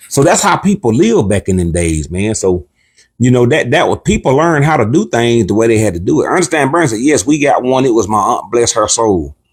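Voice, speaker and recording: At a fairly quick pace, a man with a medium pitch and a somewhat breathy voice makes very wide pitch swings while keeping his loudness very even. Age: 60s. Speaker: cooking channel co-host. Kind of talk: casual livestream chat. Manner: animated.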